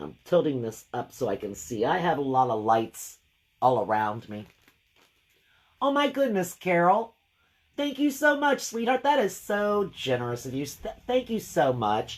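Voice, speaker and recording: Speaking fairly slowly, a woman with a fairly low pitch makes very wide pitch swings. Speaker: craft painter and online art teacher. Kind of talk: live craft stream chat. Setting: home studio livestream. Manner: casual, chatty.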